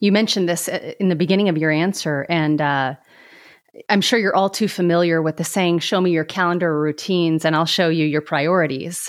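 A woman with an unremarkable speaking voice, fairly low in pitch, fairly quick, with fairly even intonation and very even loudness, on a very clean recording with a silent background. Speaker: podcast host. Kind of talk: interview, scripted intro.

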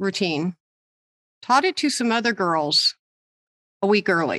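Against a quiet background, a woman with a bright, sharp tone speaks with ordinary pitch variation in a dry, close sound with no echo. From Michigan. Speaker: podcast co-host. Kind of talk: casual chat.

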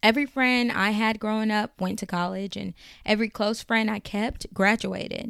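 A woman with an unremarkable speaking voice and a fairly high pitch keeps her intonation fairly even, in a very clean recording with a silent background and a dry, close sound without echo. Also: moderate pace. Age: 20s. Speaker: faith-based advice podcaster. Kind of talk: advice podcast monologue.

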